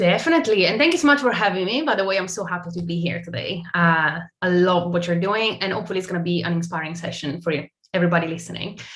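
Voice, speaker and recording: A woman at a very fast pace, ordinary pitch variation, and audible room echo. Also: fairly low pitch for a woman. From Italy. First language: Italian. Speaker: tech brand partnerships marketer. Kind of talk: interview.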